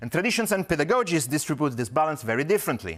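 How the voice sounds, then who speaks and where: A man with an Italian accent, vocal fry and very wide pitch swings, on a very clean recording with a silent background. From Italy, Rome. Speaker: academic researcher. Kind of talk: conference presentation. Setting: conference talk. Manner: formal.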